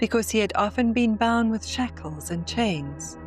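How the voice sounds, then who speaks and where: A woman speaks with music in the background. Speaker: narrator. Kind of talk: scripture reading. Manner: reverent.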